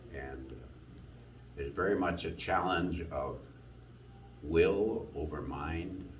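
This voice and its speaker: There's vocal fry in this man's very deep, low voice. The recording carries audible room echo. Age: 70s. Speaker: long-distance hiker. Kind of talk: personal testimony.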